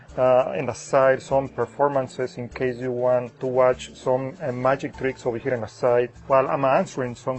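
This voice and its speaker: Over music in the background, a man with a strong Spanish accent speaks at a medium pitch and a moderate pace, in a monotone, flat intonation with hardly any pauses. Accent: heavy Spanish. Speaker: magician. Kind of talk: Q&A video, casual talk to camera. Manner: hesitant, many fillers.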